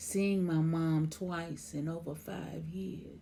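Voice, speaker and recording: This woman speaks with a very deep, low pitch and a somewhat breathy quality. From Memphis, Tennessee. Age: 60s. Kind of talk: poetry reading.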